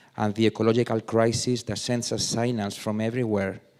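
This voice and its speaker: A man speaks in a flat monotone with a Spanish accent. The recording is very clean, with a silent background. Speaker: artist and former politician. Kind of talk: reading aloud.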